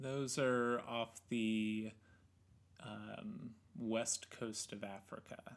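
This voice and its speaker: At a very slow pace, a man talks with fairly even intonation. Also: medium pitch for a man. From Oregon. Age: 30s. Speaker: photo lab worker. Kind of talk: casual chat. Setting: living room.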